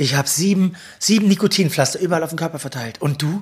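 Noticeable background noise surrounds a man's voice. He speaks in a high pitch with lively intonation. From Mecklenburg-Vorpommern, Germany. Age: 30s. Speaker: TV editor and talk show host. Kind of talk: casual interview.

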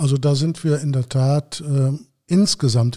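This man's tone is dark and mellow, set at a fairly high pitch. His intonation stays fairly even, and he sounds somewhat breathy. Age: 60s. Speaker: local party politician. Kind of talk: interview. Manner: frequent filler hesitations.

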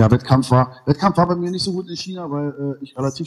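Speaking fairly quickly, a normal speaking voice shows ordinary pitch variation. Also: man. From Berlin (East), Germany. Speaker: martial arts school owner. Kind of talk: casual interview. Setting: remote call.

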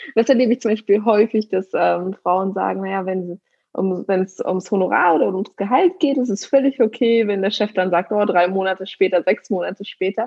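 A woman at a medium pitch talks at a moderate pace with hardly any pauses. She has an ordinary speaking voice, and her pitch varies in an ordinary way. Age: 30s. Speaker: negotiation coach. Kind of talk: interview. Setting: remote call.

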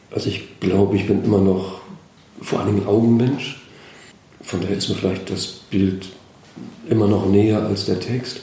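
A man speaks at a moderate pace in a monotone, flat intonation, with long, frequent pauses, noticeable background noise and audible room echo. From Schleswig-Holstein, inland. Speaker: children's book author. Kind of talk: interview. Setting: large high-ceilinged room in an old school. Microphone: echoey room sound.

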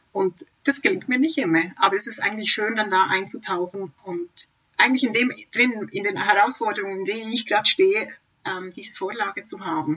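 A woman with an ordinary speaking voice and medium pitch talks at a fairly quick pace with lively intonation. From Switzerland. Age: 40s. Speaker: avid reader, mother of three. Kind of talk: casual interview chat. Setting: remote internet call.

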